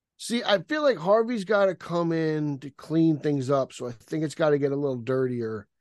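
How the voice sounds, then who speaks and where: A man with an unremarkable speaking voice, fairly high-pitched, lively in intonation, at a moderate pace with hardly any pauses, against a quiet background. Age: 30s. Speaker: website contributor. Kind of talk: casual chat.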